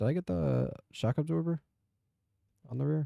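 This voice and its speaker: Soft-spoken and calm, a man speaks in a dark, mellow tone with very wide pitch swings. The sound is dry and close, with no echo. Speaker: gaming youtuber. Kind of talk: gameplay commentary. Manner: calm, sleepy.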